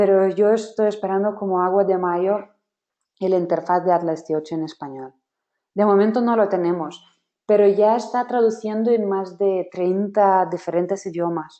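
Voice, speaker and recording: A woman with a non-native accent and fairly even intonation. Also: medium pitch for a woman, moderate pace. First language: not Spanish (speaking Spanish). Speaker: software trainer. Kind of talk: webinar workshop.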